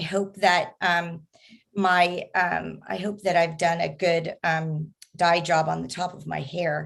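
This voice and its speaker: The voice comes at a very slow pace with fairly even intonation and vocal fry against a quiet background. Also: woman, fairly low pitch for a woman. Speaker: advisory committee member chairing workshop. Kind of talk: public meeting facilitation. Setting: video call. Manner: hesitant, many fillers.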